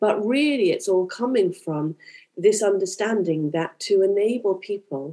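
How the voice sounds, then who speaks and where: At a moderate pace, a woman with a British accent speaks in a dark, mellow tone. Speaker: primary tutor and school leader. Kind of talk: panel discussion.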